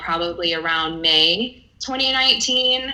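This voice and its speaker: Over noticeable background noise, a woman speaks at a very slow pace with a fairly low pitch and ordinary pitch variation. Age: 30s. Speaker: interviewee sharing egg freezing experience. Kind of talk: casual interview.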